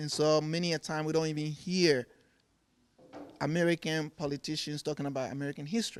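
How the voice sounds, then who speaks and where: Speaking at a very fast pace yet with long, frequent pauses, a man keeps a fairly high pitch and fairly even intonation. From Ghana. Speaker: furniture maker. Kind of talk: TV interview. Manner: repeats words, halting starts.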